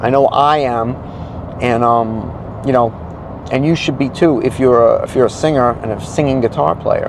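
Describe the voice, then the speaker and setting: Through noticeable background noise, a man with a medium pitch speaks with long, frequent pauses. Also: ordinary pitch variation, moderate pace. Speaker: solo acoustic musician and vocal teacher. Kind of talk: casual vlog talk to camera.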